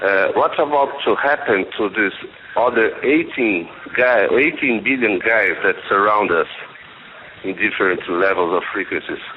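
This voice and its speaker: Speaking with a Brazilian accent, a man keeps a fairly slow pace. Noticeable background noise runs behind him. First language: Portuguese. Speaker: caller. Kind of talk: call-in question. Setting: phone call.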